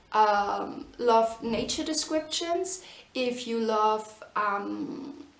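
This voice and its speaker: Against noticeable background noise and audible room echo, a woman with a fairly high pitch speaks very slowly with lively intonation. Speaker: book reviewer. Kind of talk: casual book review. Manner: many fillers, hesitant.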